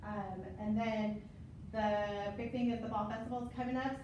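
A woman's voice comes through loud background noise and audible room echo. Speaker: staff member giving event report. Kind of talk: meeting report. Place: classroom.

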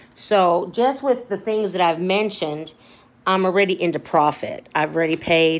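A woman's ordinary speaking voice, fairly low in pitch, with ordinary pitch variation and a fairly slow pace. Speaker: thrift reseller. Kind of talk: casual haul vlog chat. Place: home room. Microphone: phone near.

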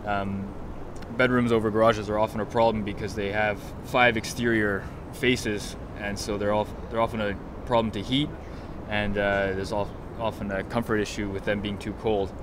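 At a moderate pace, a man speaks with a fairly low pitch and little pitch movement.

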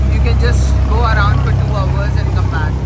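The talking proceeds at a moderate pace while loud background noise fills the recording. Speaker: travel vlogger. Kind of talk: casual vlog chat. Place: boat. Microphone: phone near.

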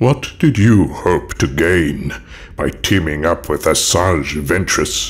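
A man puts on a character voice with a very deep, low pitch. He speaks at a fairly slow pace with lively intonation. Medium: audio drama.

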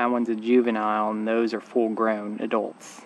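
A man's voice in a dry sound with no echo, over light background noise. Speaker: hiker vlogger. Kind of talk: casual vlog chat. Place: open country. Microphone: phone near.

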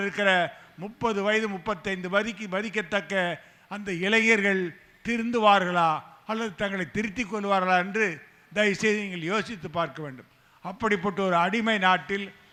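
The voice is raised and projected, with fairly even intonation. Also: man. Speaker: rationalist activist speaker. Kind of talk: political rally speech. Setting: stage with audience. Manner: fiery.

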